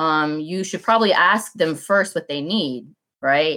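A woman's bright, sharp tone at a fairly slow pace with ordinary pitch variation. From DeKalb County, Georgia, US. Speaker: candidate for county commissioner. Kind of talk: casual interview chat.

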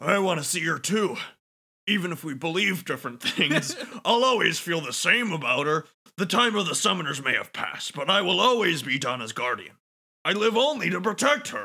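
A man's put-on character voice, high-pitched, at a fairly quick pace, with very wide pitch swings. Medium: game stream. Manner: earnest, blunt, devoted.

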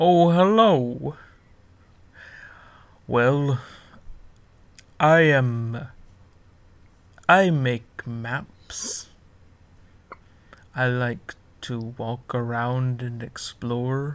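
At a very slow pace with long, frequent pauses, a man at a medium pitch performs a put-on character voice. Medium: actual play. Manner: friendly, slow and simple, easily amused.

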